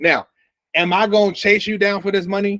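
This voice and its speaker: In a dry, close sound with no echo, a man with an American accent speaks at a moderate pace with fairly even intonation. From Chicago, US Midwest (South Side). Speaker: trading coach. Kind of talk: sales pitch.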